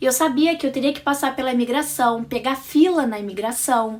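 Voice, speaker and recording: A woman with a high pitch and an animated tone speaks at a moderate pace with ordinary pitch variation, on a very clean recording with a silent background. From Brazil. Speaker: vlogger. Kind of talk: casual storytelling vlog.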